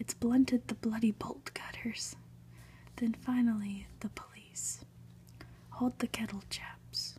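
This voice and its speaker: Soft-spoken whispering at a very slow pace, broken by long, frequent pauses. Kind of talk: read story. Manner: whispered, soft-spoken.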